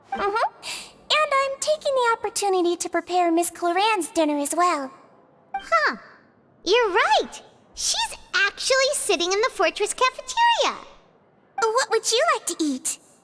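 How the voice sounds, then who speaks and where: Putting on a squeaky character voice at an extremely high pitch, a woman speaks at a moderate pace with very wide pitch swings and long, frequent pauses. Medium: video game. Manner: gentle, caring.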